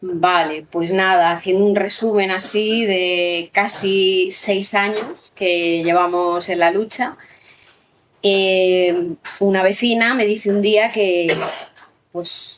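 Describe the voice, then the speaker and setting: This woman's intonation is fairly even. She talks at a very slow pace. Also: medium pitch for a woman. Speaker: neighborhood activist. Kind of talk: panel talk. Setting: public event with audience. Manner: soft-spoken.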